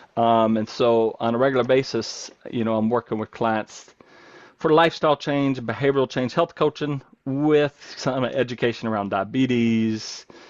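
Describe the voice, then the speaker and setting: A man talks in a Southern US accent at a medium pitch. The sound is dry and close, with no echo. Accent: Southern US accent, still noticeable. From North Carolina. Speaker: nurse coach. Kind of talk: podcast interview. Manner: animated, rapid run-on talk; halting, many fillers and restarts.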